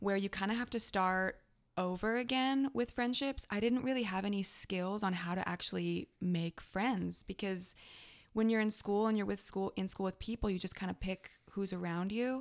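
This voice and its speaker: A woman speaks in a plain, everyday voice at a moderate pace, with medium pitch, fairly even intonation and a Canadian accent. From Canada. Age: 30s. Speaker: life coach. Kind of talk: casual chat.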